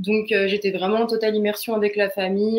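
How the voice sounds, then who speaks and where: A woman's very fast, monotone delivery with flat intonation. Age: 20s. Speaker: student, former au pair. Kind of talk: interview testimony. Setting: live online broadcast. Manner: hesitant, many fillers.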